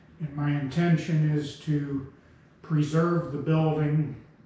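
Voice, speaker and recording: Very slowly and in a flat monotone, a man speaks at a fairly high pitch. Room echo is audible and background noise is noticeable. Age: 70s. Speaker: railroad heritage preservationist. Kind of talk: interview talk.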